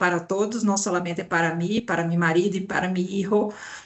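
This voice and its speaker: A woman with a Brazilian accent and monotone, flat intonation. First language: Portuguese (speaking Spanish). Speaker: HR director. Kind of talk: webinar panel talk.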